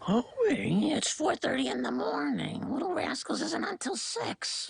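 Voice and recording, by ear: A raspy, cartoonish character voice delivers its lines at a moderate pace.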